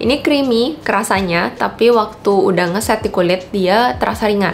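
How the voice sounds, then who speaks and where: Lively intonation at a moderate pace, with very even loudness over noticeable background noise. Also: woman, medium pitch for a woman. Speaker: beauty vlogger. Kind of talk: product review. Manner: casual.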